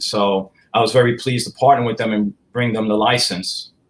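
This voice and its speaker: Speaking in a strong New York accent, the voice keeps a fairly even intonation. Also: man. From upstate New York. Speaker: collectibles company president. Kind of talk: casual interview.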